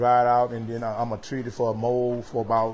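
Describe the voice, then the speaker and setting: The delivery has a moderate pace. It is in an American accent. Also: man. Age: 70s. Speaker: homeowner. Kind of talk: casual interview. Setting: indoors, storm-damaged house.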